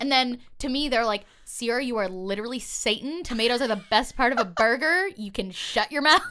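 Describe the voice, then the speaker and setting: Loud and high-pitched, a woman speaks at a fairly quick pace with lively intonation and hardly any pauses. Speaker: YouTuber and podcast host. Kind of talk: casual chat.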